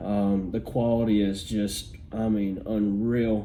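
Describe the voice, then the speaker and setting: The room echo is audible as a man speaks in a fairly low voice with fairly even intonation. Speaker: tech reviewer. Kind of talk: product unboxing review. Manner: halting with many fillers.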